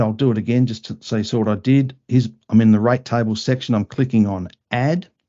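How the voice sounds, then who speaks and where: A man with a normal speaking voice, medium pitch and fairly even intonation. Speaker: software trainer. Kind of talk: tutorial.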